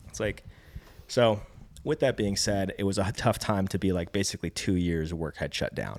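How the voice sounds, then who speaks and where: A man with a very deep, low voice and fairly even intonation is heard on a very clean recording with a silent background. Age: 30s. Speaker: filmmaker and cinematographer. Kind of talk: casual chat.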